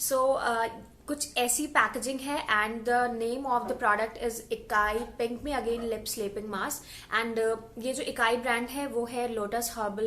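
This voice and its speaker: A woman speaks with fairly high pitch and fairly even intonation. Hers is an unremarkable speaking voice. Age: 20s. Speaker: beauty vlogger. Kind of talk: product review. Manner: casual, Hindi-English code-switching.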